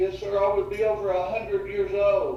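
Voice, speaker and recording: The speaker has an American accent. Noticeable background noise is present. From Oklahoma. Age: 60s. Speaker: prison inmate. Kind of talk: parole board testimony. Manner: halting, repeats words.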